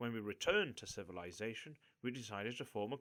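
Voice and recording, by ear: Reading aloud in a natural voice, with ordinary pitch variation throughout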